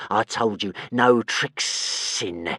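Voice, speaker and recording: Hissing and growling, a man puts on a character voice at a medium pitch. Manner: hissing, venomous.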